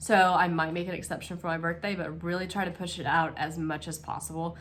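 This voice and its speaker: Speaking at a moderate pace, a woman with a fairly low pitch and vocal fry keeps a monotone, flat intonation, and the room echo is audible. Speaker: cross stitch vlogger. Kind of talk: casual craft vlog. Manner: hesitant, many fillers.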